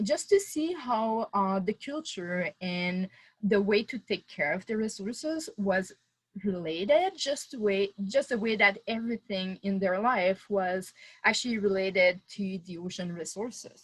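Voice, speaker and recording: In a Quebec accent, a woman speaks at a fairly slow pace and a medium pitch. Her voice is somewhat breathy, with ordinary pitch variation. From Quebec City, Canada. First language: French. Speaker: oceanographer. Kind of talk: webinar talk. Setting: video call. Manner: halting, many fillers.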